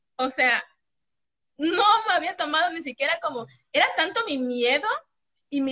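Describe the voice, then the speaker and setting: In a Mexican accent, a woman speaks in a raised, projected voice. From Mexico. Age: 30s. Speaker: eating disorder recovery client. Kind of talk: testimony.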